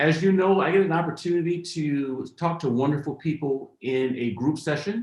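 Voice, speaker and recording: With an unremarkable speaking voice, a man talks at a moderate pace and fairly high pitch, using ordinary pitch variation and hardly any pauses. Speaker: interview host. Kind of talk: podcast host intro.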